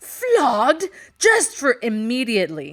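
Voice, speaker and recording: In a put-on character voice, a female-sounding speaker growls at a high pitch, raised and projected, at a fairly slow pace. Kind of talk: pirate dialect. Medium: read story. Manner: insolent, spitting.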